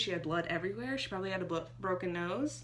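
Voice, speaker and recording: A woman with very wide pitch swings and audible room echo. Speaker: movie reviewer. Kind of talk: casual video review. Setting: home bedroom.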